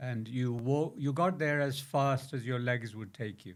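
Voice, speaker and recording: The speaker is a man with a medium pitch. His intonation is fairly even. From Azad Kashmir, moved to Birmingham at 12. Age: 60s. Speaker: educationalist. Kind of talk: interview. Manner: hesitant, many fillers.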